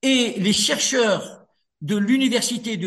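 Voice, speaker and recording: Against a quiet background, a man with a North African accent speaks very slowly in a high pitch with ordinary pitch variation. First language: Berber (speaking French). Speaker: author and lawyer. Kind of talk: radio interview.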